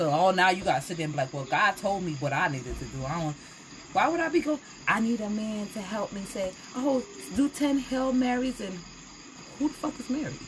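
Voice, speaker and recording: A woman's furious, passionate voice at a fairly quick pace, with light background noise. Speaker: tarot reader. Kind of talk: angry rant, sweary sermon-like tirade against church hypocrisy; live tarot reading, casual chatty. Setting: live stream. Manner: furious, fiery, loud, heated and passionate. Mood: passionate, confrontational about church. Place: home room. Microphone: phone near.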